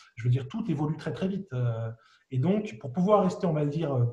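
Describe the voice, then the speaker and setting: Fast-ish and lively, a man talks at a fairly quick pace in a high voice with a dark, mellow tone. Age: 40s. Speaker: business angel investor. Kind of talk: interview.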